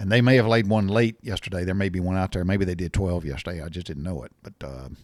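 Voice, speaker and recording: This man speaks very fast with a Southern US accent. His pitch is very deep and low, with ordinary variation. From US South. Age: 60s. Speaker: podcast host, storyteller. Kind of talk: casual monologue. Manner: halting, many fillers and restarts.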